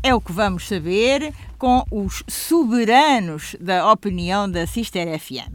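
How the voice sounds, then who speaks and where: A woman speaks with a European Portuguese accent. Her pitch swings very widely. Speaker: radio show moderator. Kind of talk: scripted introduction.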